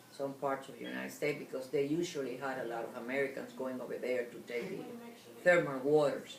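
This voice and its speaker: A woman speaks very fast, her pitch very deep and low and her intonation fairly even. Room echo is audible. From Cuba. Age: 80s+. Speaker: interviewee sharing life story. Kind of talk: oral history interview.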